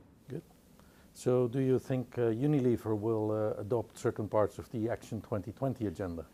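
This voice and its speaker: With a Dutch accent, a man of medium pitch talks at a fairly quick pace in a dark, mellow tone with ordinary pitch variation. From Netherlands. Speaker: business organization head interviewing. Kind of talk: interview.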